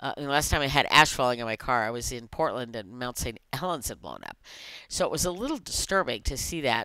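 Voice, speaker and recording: A woman talks at a very fast pace in a very deep, low voice with a bright, sharp tone and big swings in loudness. The background is quiet and the sound is dry with no echo. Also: ordinary pitch variation. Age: 60s. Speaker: vlogger. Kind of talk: casual chat. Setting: video recording. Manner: informal, rambling, filler words. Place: home room. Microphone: headset.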